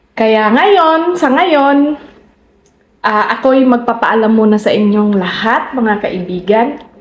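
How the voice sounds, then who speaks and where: A woman speaks at a very slow pace with lively intonation and a fairly high pitch. Audible room echo surrounds her voice. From Philippines, Visayas. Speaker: vlogger. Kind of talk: casual vlog talk to camera. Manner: halting, with many fillers and repetitions.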